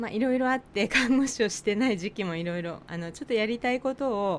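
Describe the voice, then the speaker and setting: A woman speaks with a Tochigi accent. Her pitch varies in an ordinary way. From Japan, Tochigi. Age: 40s. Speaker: nurse and podcast co-host. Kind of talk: casual chat.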